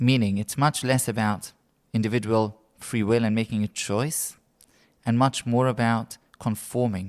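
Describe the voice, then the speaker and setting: A man speaks at a medium pitch on a very clean recording, the background silent. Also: fairly even intonation, moderate pace. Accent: British. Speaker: rabbi. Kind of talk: role-play explanation in interview.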